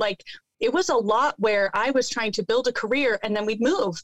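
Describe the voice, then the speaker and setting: In a plain, everyday voice, a woman speaks at a fairly high pitch with ordinary pitch variation, the sound dry and close with no echo. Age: 40s. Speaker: entrepreneur. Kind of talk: casual chat.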